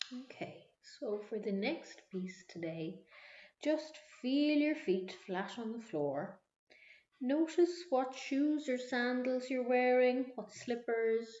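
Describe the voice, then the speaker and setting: A soft-spoken woman with a high voice, an Irish accent, lively intonation and a very slow pace. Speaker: mindfulness instructor. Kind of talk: guided meditation.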